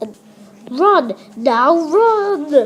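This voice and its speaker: A woman's put-on character voice, high-pitched, with very wide pitch swings. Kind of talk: hammy stage villain with Shakespeare quotes. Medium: stage play. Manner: mocking, melodramatic.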